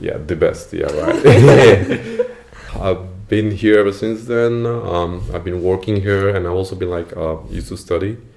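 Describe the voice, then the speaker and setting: Amid noticeable background noise and audible room echo, a man speaks at a fairly slow pace. His pitch is fairly low, with ordinary variation. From India, Assam (Duliajan). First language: Assamese. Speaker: former international student, web engineer. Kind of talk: podcast interview. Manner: casual, many fillers.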